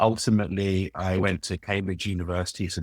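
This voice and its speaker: With a London accent, a man speaks at a very deep, low pitch in a dry, close sound with no echo. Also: very clean recording, silent background. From London, England. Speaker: business executive and author. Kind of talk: interview.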